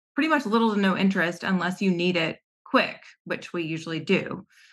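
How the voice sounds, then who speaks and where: A woman talks at a moderate pace in an American accent, over a quiet background. She has an ordinary speaking voice at medium pitch. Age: 30s. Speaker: guest seeking money coaching. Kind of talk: casual chat.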